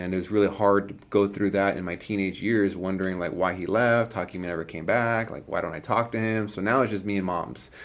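With a normal speaking voice and an American accent, a man talks at a fairly quick pace with hardly any pauses, fairly even intonation and a fairly low pitch. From California. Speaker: entrepreneur. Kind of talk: casual chat.

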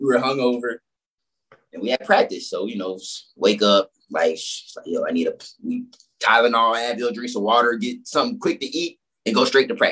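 A man with an American accent talks at a fairly quick pace, broken by long, frequent pauses. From Florida, Orlando and Fort Lauderdale. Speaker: former college and pro basketball player. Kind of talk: casual chat.

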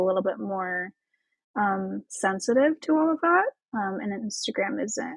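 A woman's fairly high voice with a Midwestern US accent at a moderate pace, the sound dry and close with no echo. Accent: US Midwest. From Indiana, US Midwest. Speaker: esthetician and marketing coach. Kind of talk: casual interview chat.

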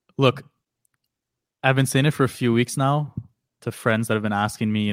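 A man talks at a very fast pace with fairly even intonation. The recording is very clean, with a silent background and a dry, close sound with no echo. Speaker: hockey podcast co-host. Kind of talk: casual chat. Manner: monotone when reading aloud.

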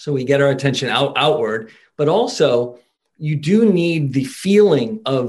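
At a fairly slow pace, a man speaks in a fairly high, somewhat breathy voice with lively intonation. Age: 50s. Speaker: sports psychology consultant. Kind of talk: casual chat.

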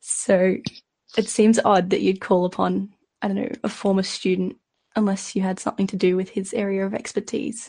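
In an Australian accent, a woman speaks with a dark, mellow, somewhat breathy tone and fairly even intonation over a quiet background. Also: medium pitch for a woman, moderate pace. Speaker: podcast panelist. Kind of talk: casual chat.

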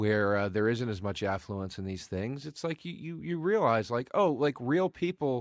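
A man speaks with a slight East Coast accent at a moderate pace. His pitch swings very widely, and the sound is dry and close with no echo. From US East Coast. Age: 40s. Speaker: comedian. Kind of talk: casual chat.

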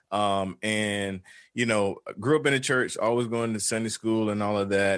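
At a moderate pace, a man talks with a Southern US accent and a fairly low pitch. His intonation is fairly even, and the background is quiet. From US South, rural North Carolina. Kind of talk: casual interview. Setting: video call.

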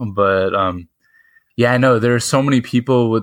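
In a very clean recording with a silent background, a man with a normal speaking voice and an American accent talks at a moderate pace with fairly even intonation. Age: 20s. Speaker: podcast host. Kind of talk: interview.

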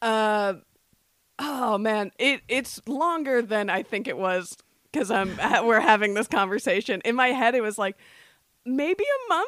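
Speaking at a fairly slow pace, a woman with an unremarkable speaking voice uses lively intonation at a fairly high pitch. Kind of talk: casual chat.

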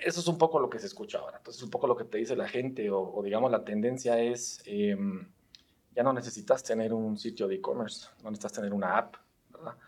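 Racing at a very fast pace, a man speaks at a medium pitch with ordinary pitch variation and big swings in loudness. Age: 30s. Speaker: tech startup founder and CEO. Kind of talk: casual interview chat.

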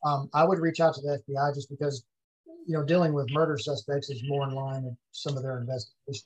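A somewhat breathy, fairly high male voice with a Texan accent, fairly quick pace and fairly even intonation, dry and close with no echo. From Texas, Ellis County. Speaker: former police investigator. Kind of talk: interview.

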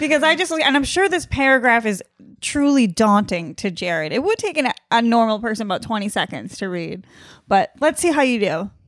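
On a very clean recording with a silent background, a woman speaks at a fairly quick pace. Her fairly high pitch moves in very wide swings. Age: 20s. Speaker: podcast co-host, comedian. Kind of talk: casual chat.

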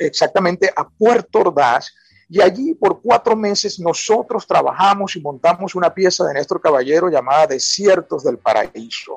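A man with a high pitch talks at a fairly slow pace with lively intonation and hardly any pauses. The sound is dry and close with no echo. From Venezuela, Falcón (Paraguaná). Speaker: writer and university professor. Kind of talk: radio interview.

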